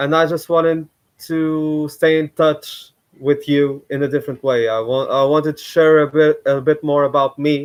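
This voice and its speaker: A man with a Portuguese accent speaks at a moderate pace. His fairly high pitch stays flat and monotone. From Portugal. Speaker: YouTuber. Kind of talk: live stream commentary. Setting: live stream at home. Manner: halting.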